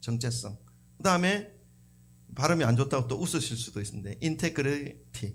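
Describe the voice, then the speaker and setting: A man speaks at a moderate pace and medium pitch, with lively intonation, vocal fry and long, frequent pauses. Audible room echo is present. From South Korea. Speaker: pastor. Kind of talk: sermon. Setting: church. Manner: conversational.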